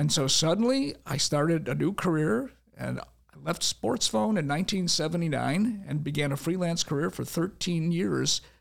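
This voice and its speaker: A man with an ordinary speaking voice, fairly high in pitch. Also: lively intonation, moderate pace. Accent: American. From Chicago. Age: 60s. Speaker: radio broadcaster and author. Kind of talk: casual podcast interview.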